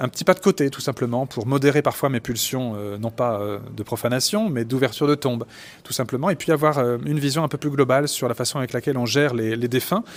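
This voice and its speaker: A man speaks very fast. The pitch variation is ordinary. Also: medium pitch for a man. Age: 40s. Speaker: forensic doctor and anthropologist. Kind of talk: interview. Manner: halting, many fillers.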